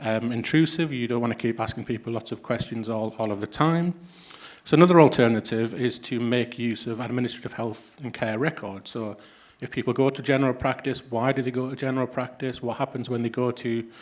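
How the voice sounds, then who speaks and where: Speaking with a northeast England accent, a man keeps a medium pitch and fairly even intonation at a fairly quick pace. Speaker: health economist, academic. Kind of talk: conference talk. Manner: hesitant, many fillers.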